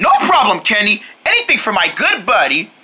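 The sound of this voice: A woman puts on a character voice at medium pitch with very wide pitch swings, moving at a fairly quick pace. Her tone is bright and sharp, with a slightly husky edge.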